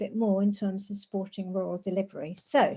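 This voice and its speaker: The tone is dark and mellow in this woman's speech. Some breathiness runs through it. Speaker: rural housing campaigner and planner. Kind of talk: presentation.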